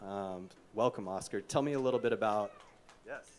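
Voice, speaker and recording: Here a man talks in an ordinary speaking voice with an American accent. His pitch is fairly low and his pace fairly quick. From Kansas. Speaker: skateboarding official and panel moderator. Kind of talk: panel discussion.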